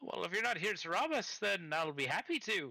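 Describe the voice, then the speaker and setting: A man puts on a character voice with a high pitch. He speaks at a fairly quick pace. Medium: actual play.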